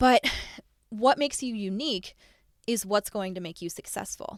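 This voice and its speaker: In an animated tone with ordinary pitch variation, a woman speaks in a dry, close recording with no echo, very clean with a silent background. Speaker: podcast host, online business coach. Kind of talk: solo podcast monologue. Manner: fast.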